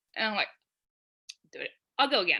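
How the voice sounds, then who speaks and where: In a New Jersey accent, a woman talks at a very fast pace. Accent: New Jersey American. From New Jersey, US. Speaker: freelance copywriter. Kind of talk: podcast interview.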